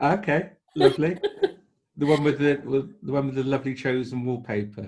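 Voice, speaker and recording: This man's voice sits fairly high and is somewhat breathy. He moves at a fairly quick pace with ordinary pitch variation. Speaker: podcast host. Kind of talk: casual podcast interview.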